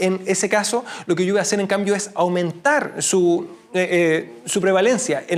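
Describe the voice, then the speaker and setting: Noticeable background noise behind a man's high voice at a moderate pace. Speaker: medical lecturer. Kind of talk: lecture. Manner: halting.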